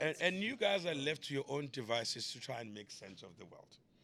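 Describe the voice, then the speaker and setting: A bright, sharp tone at a fairly quick pace. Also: man. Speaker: comedian. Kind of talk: podcast conversation. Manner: loud.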